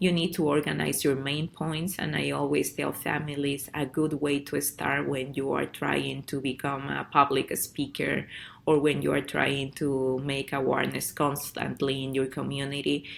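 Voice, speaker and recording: In a Spanish accent, a woman with a very deep, low pitch and vocal fry talks at a moderate pace in a monotone, flat intonation with hardly any pauses. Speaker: parent advocate and program director. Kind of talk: presentation. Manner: halting.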